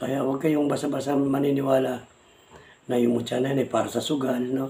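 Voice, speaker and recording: Noticeable background noise sits behind a man speaking at a medium pitch and a fairly quick pace. His intonation is monotone and flat, and his loudness stays very even. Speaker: vlogger, amulet hunter. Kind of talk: casual vlog talk. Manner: halting.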